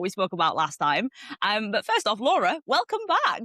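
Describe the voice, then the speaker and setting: A woman with a Yorkshire accent, fairly high in pitch, at a very fast pace with a dry, close sound with no echo. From Yorkshire, northern England. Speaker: podcast host. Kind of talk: casual chat.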